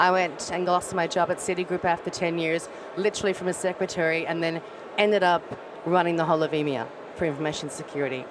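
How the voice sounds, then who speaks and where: A woman's very fast, fairly low voice with an Australian accent over noticeable background noise. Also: fairly even intonation. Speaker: audience member asking a question. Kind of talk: audience question at a panel. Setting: conference stage with audience. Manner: quiet at first.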